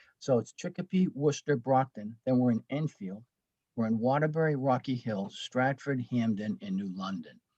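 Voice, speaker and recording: Dry and close with no echo, the recording captures a man at medium pitch with a dark, mellow tone and lively intonation. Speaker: school executive presenting at webinar. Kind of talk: webinar presentation. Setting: webinar. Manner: fast; halting, many fillers and restarts.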